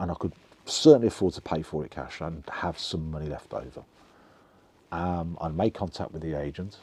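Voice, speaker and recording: In a Birmingham accent, a man speaks with a very deep, low pitch and a dark, mellow tone. His pace is moderate, with big swings in loudness. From England (Birmingham). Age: 60s. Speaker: vlogger telling life story. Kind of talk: personal storytelling monologue. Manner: halting, many fillers and restarts.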